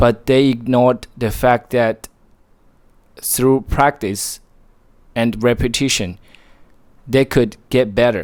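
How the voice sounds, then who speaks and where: Speaking very slowly with long, frequent pauses, a man with a Chinese accent keeps a medium pitch and fairly even intonation. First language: Mandarin Chinese. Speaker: motivational vlogger. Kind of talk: motivational monologue.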